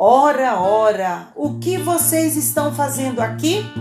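Over clear music in the background, a woman uses a raspy put-on character voice with a very deep, low pitch at a fairly slow pace. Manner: accusing, stern.

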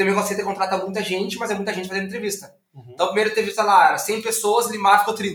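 The speech moves at a very fast pace. Audible room echo surrounds it. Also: man. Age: 30s. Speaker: entrepreneur. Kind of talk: interview.

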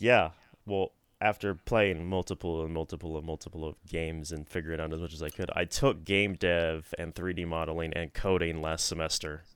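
In a very clean recording with a silent background, a man speaks at a fairly quick pace in a very deep, low voice with fairly even intonation. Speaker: podcast co-host. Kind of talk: casual chat.

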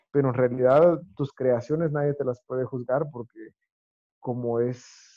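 A man uses a plain, everyday voice at medium pitch, with ordinary pitch variation and a moderate pace. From Guatemala. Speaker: chef. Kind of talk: interview conversation.

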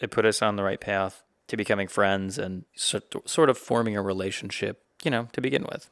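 A man with an American accent and an unremarkable speaking voice talks at a fairly quick pace, his fairly low pitch showing ordinary variation. The very clean recording has a silent background and a dry, close sound with no echo. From South Carolina. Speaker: podcast co-host, medical student. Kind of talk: casual chat.

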